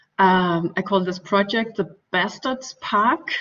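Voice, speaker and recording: The speaker has a German accent. The pace is very slow. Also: woman. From Denmark. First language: Danish. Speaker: architect and researcher. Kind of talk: lecture. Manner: halting, many fillers.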